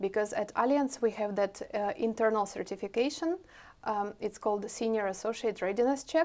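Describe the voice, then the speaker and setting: In a Russian accent, a woman speaks at a moderate pace with a fairly high pitch and lively intonation. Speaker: IT product owner; interviewee. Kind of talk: interview. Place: meeting room.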